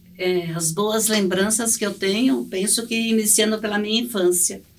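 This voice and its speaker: Audible room echo around a woman's speech, ordinary in its pitch variation. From Brazil, Paraná (rural, then Curitiba). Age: 60s. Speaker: church member, mother. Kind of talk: testimony. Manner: halting, with fillers.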